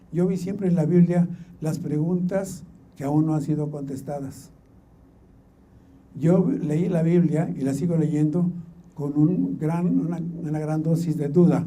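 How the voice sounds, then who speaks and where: Amid audible room echo, a man with a fairly high pitch speaks at a fairly slow pace, intonation fairly even, with long, frequent pauses. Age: 70s. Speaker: Bible translator. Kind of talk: conference talk.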